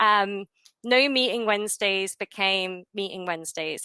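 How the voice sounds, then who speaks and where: Her non-native accent comes through in a bright, sharp tone as this woman speaks with a dry, close sound and no echo. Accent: non-American accent, origin abroad. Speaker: support team manager. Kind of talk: webinar presentation.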